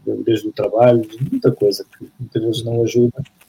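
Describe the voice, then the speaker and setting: A man's somewhat breathy voice at medium pitch. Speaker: former roller hockey player. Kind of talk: interview. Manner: halting.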